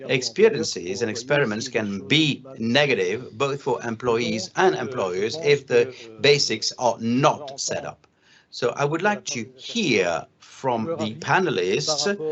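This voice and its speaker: Speaking very slowly with a French accent, a man uses lively intonation at a medium pitch. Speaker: conference panel moderator. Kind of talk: panel discussion moderation. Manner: halting.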